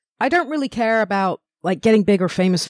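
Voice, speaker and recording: With lively intonation and a fairly quick pace, a woman speaks in a London accent, recorded dry and close with no echo and a very clean, silent background. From northwest London, England. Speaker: stand-up comedian. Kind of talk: casual interview chat.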